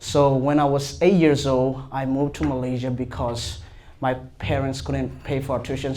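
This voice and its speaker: A man talks at a fairly slow pace with fairly even intonation, and some room echo is audible. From Myanmar. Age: 20s. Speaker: seminary student. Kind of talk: panel discussion. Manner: halting.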